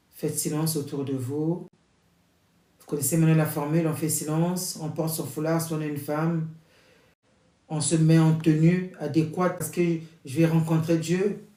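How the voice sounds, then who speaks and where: Speaking at a moderate pace with long, frequent pauses, a man uses a fairly high, flat, monotone voice amid audible room echo. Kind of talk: prayer introduction before a novena rosary. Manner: loud.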